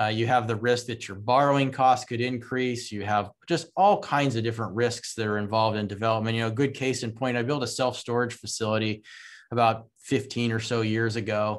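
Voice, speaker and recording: A man with an unremarkable speaking voice talks at a fairly quick pace at a medium pitch, with fairly even intonation, in a very clean recording with a silent background. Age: 50s. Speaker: real estate investor. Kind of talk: interview.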